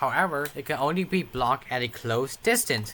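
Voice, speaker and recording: The pace of this man's speech is moderate. Very wide swings mark his pitch. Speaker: gaming video creator. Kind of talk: gameplay tutorial. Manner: unscripted, hesitant with fillers.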